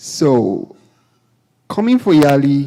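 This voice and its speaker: The man's voice has a dark, mellow tone. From Nigeria. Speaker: entrepreneur. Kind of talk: panel talk, personal story.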